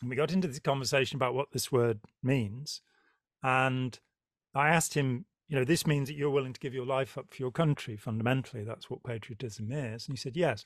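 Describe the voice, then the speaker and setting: With a normal speaking voice, this man moves at a fairly quick pace, his medium pitch showing ordinary pitch variation. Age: 60s. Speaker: podcast host. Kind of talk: interview conversation.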